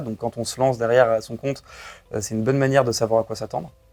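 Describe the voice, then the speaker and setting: This man has a medium-pitched voice. His intonation stays fairly even. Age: 20s. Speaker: startup co-founder. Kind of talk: interview. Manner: hesitant, frequent fillers.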